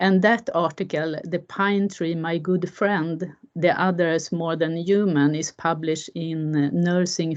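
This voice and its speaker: At a very slow pace, a woman speaks with a fairly low pitch and fairly even intonation against a quiet background. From Sweden. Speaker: professor. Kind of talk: conference presentation.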